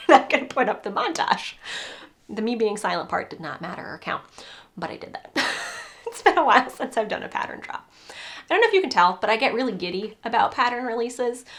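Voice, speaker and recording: A woman's high-pitched, animated voice at a very fast pace, with very wide pitch swings, big swings in loudness, long, frequent pauses and noticeable background noise. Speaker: crochet designer and podcaster. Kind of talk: casual video chat, pattern release. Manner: animated, giddy.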